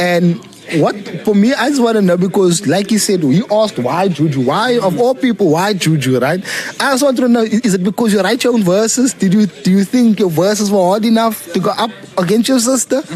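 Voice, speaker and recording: High-pitched man's voice, fairly quick and lively in intonation, at very even loudness over noticeable background noise. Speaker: podcast host. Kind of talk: casual interview chat.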